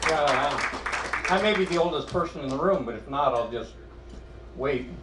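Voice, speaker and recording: A man's fairly high voice with ordinary pitch variation and a moderate pace, plus audible room echo and crowd noise in the background. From Iowa. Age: 70s. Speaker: amateur stand-up comedian. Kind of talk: stand-up. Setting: stage with audience. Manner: halting.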